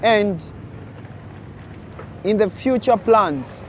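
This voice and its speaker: Against noticeable background noise, a man with an African accent speaks at a very slow pace. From Uganda. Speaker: content creator. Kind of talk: vlog monologue addressing viewers.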